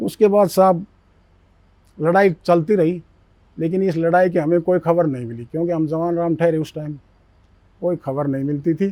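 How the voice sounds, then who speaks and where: A man speaks in a high pitch with a dark, mellow tone. Long, frequent pauses break up his speech. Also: ordinary pitch variation. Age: 70s. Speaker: war veteran. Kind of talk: interview storytelling.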